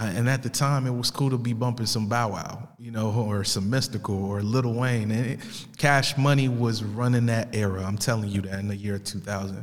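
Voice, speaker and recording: Talking at a moderate pace, a man uses an unremarkable speaking voice, medium in pitch with fairly even intonation. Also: hardly any pauses. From Italy and US. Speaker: podcast host. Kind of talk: casual monologue introducing podcast. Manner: casual, conversational.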